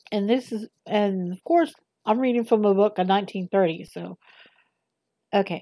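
A woman in a Southern US accent, medium in pitch with ordinary pitch variation and a dark, mellow tone, at a moderate pace with long, frequent pauses and big swings in loudness, in a very clean, dry, close recording with a silent background and no echo. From US South. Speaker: amateur reader. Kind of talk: reading aloud. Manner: hesitant, many fillers.

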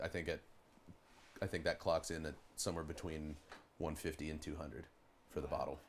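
Long, frequent pauses break up this man's speech. He talks at a very fast pace in a Pittsburgh accent. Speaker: rock band drummer. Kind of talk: casual chat.

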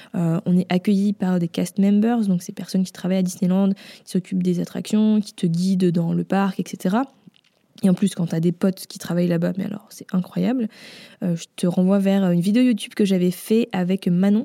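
In a dry, close recording with no echo, a woman speaks at a moderate pace and medium pitch in a dark, mellow tone, with fairly even intonation and big swings in loudness. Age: 20s. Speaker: podcast host, brand designer. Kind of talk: casual solo podcast talk. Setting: home recording after move. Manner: casual with frequent fillers.

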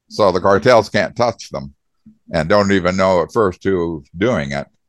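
A man's very deep, low voice with ordinary pitch variation, dry and close with no echo, over a quiet background. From US Southwest. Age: 70s. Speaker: author and veteran. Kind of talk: casual interview.

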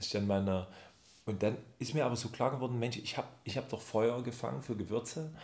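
A man talks at a moderate pace with a medium pitch. His voice is somewhat breathy and his intonation fairly even. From Saxony, near Chemnitz. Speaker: spice shop founder. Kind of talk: casual chat. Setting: office.

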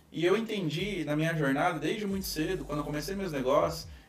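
Amid audible room echo and noticeable background noise, a man speaks fairly quickly in a high voice. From Brazil, Foz do Iguaçu, Paraná. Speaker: business manager and speaker. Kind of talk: casual interview chat.

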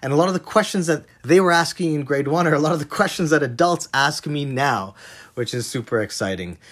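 A man with a Canadian accent talks at a fairly quick pace in a plain, everyday voice. His pitch sits fairly high, with lively intonation. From Canada, Toronto area. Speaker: chef. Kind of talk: recorded monologue.

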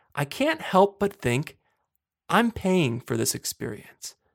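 A man speaks in a normal speaking voice with an American accent, at a fairly slow pace and with lively intonation. The recording is very clean, with a silent background and a dry, close sound with no echo. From western Pennsylvania, Johnstown. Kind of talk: solo monologue podcast.

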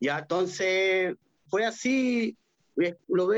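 A man's high voice, lively in intonation, has a dry, close sound with no echo. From Peru. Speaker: band percussionist. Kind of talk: interview.

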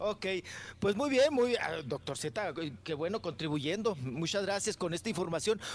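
Against a quiet background, a man with a high pitch speaks in very wide pitch swings. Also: moderate pace. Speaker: radio co-host. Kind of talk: casual chat.

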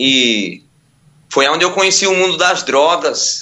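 This man talks at a fairly slow pace. He takes his time with each phrase. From Ilhéus, Bahia, Brazil. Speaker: preacher and former addict. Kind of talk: testimony.

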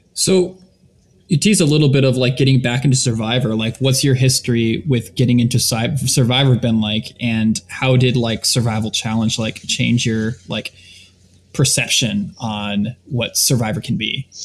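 A man speaks at a moderate pace and medium pitch. His voice is somewhat breathy, with ordinary pitch variation. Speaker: co-host. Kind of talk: casual podcast interview.

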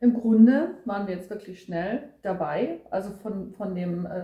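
There is noticeable background noise as a woman speaks at a medium pitch with ordinary pitch variation. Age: 40s. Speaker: podcaster. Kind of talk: casual chat.

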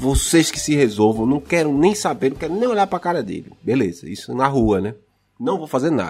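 A man's fairly high voice at a fairly quick pace, with very wide pitch swings and vocal fry. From Brazil, Pernambuco (Recife). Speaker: podcaster. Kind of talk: casual chat. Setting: recording at home sharing one mic with partner.

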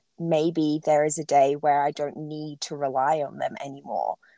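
With an Australian accent, a woman speaks at a moderate pace. The recording is very clean against a silent background, with a dry, close sound and no echo. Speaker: podcast host. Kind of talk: scripted acknowledgement; casual interview.

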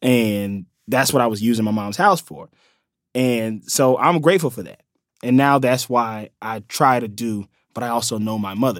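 The recording is very clean with a silent background. A man speaks at a moderate pace with ordinary pitch variation. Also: medium pitch for a man. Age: 20s. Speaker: comedian and actor. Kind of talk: casual chat. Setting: studio.

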